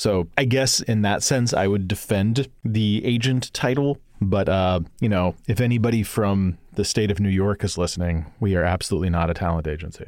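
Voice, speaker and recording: A man's unremarkable speaking voice at a moderate pace with ordinary pitch variation and hardly any pauses, in a very clean recording against a silent background. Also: fairly low pitch for a man. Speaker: podcast host. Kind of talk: casual interview chat.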